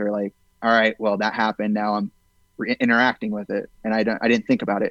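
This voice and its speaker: A man with an unremarkable speaking voice, fairly low pitch and fairly even intonation, in a dry, close sound with no echo over a quiet background. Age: 20s. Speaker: film director. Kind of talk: casual chat.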